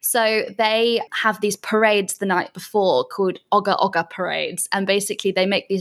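With a southwest England accent, a woman speaks at a moderate pace and a medium pitch. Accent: British English, southwest England. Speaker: digital nomad. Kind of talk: casual interview chat.

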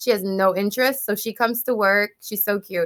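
A woman with a bright, sharp tone talks at a fairly quick pace with fairly even intonation, the sound dry and close with no echo. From Jamaica. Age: 30s. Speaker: beauty entrepreneur. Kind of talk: interview conversation.

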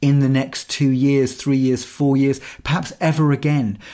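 The man's voice is fairly high in pitch yet dark and mellow in tone, moving at a moderate pace with an English accent. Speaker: musician and podcast co-host. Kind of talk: casual chat.

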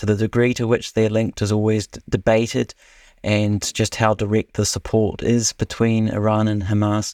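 Very cleanly recorded against a silent background, with a dry, close sound and no echo, a man speaks at a moderate pace in a fairly low, monotone, flat voice. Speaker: international affairs analyst. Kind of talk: expert interview.

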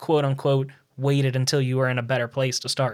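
A man with a plain, everyday voice and a fairly high pitch talks at a fairly quick pace on a very clean recording with a silent background. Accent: American. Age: 20s. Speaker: finance podcast host. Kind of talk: casual interview.

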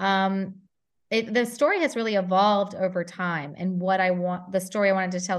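With a plain, everyday voice, the woman holds a medium pitch and ordinary pitch variation, speaking at a moderate pace. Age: 30s. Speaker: former intelligence officer turned novelist. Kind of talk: casual interview.

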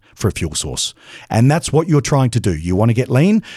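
Speaking very fast, a man with an Australian accent has a dark, mellow tone. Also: very clean recording, silent background. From Australia (Adelaide). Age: 50s. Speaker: bodybuilder and supplement company founder. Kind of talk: interview.

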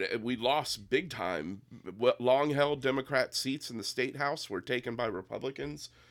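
Vocal fry runs through a man's fairly slow speech, which has lively intonation. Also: very clean recording, silent background. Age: 50s. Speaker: political candidate. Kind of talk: casual chat.

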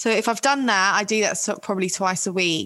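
In a London accent, a woman speaks at medium pitch with a bright, sharp tone and fairly even intonation. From West London. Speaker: author and make-up artist. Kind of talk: casual chat.

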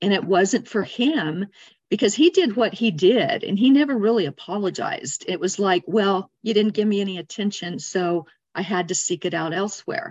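Here is an unremarkable speaking voice with an American accent. The intonation is lively. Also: woman, medium pitch for a woman, moderate pace. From Arizona, US. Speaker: energy healer. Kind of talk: interview.

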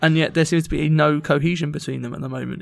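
There is vocal fry in this man's fairly high-pitched voice. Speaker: football podcast co-host. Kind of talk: casual sports discussion podcast.

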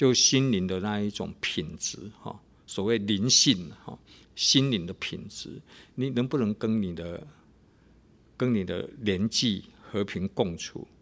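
A man's very slow, fairly low voice with long, frequent pauses and ordinary pitch variation, on a very clean recording with a silent background. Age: 50s. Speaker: pastor and radio host. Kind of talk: radio devotional talk.

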